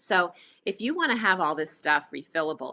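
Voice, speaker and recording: Bright and sharp in tone, a woman speaks at a fairly quick pace with lively intonation. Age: 60s. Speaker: entrepreneur, refill store owner. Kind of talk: podcast interview.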